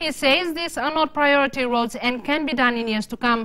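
A woman speaks at a moderate pace, high-pitched with lively intonation. The background is quiet. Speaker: news anchor. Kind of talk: news reading. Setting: studio. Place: studio.

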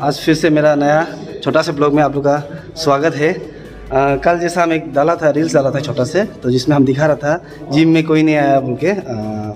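A man talks at a moderate pace with fairly even intonation. Noticeable background noise sits behind him. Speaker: police officer fitness vlogger. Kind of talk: casual vlog chat. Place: gym. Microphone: phone near.

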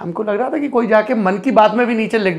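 A man is talking. His pace is fairly quick. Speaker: interview host. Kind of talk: lively intro to an interview. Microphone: lapel.

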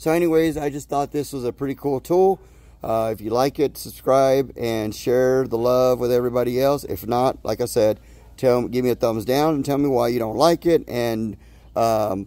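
Dry and free of echo, a man's dark, mellow voice moves with ordinary pitch variation. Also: moderate pace. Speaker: home gardener vlogger. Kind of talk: casual vlog chat. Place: garden. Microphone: phone near.

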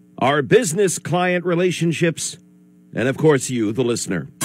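With music in the background, a man speaks at a moderate pace and a fairly high pitch. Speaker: radio station staff member reading a sign-off statement. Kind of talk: radio station farewell announcement.

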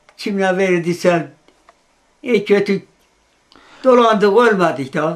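A man with an eastern Anatolian accent speaks very slowly in a high voice. His pitch varies in an ordinary way. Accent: Iğdır Azerbaijani Turkish dialect. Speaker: eyewitness. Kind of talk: interview testimony.

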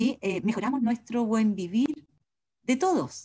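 In a quiet background, a woman with a Chilean accent speaks with lively intonation, a dark, mellow tone and a somewhat breathy quality. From southern Chile. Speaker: agroecologist; speaker. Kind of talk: presentation. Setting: video call. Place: home room. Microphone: video call.

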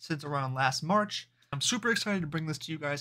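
This man has a bright, sharp tone and speaks at a very fast pace. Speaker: fitness vlogger. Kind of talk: casual vlog chat. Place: home room. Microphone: webcam.

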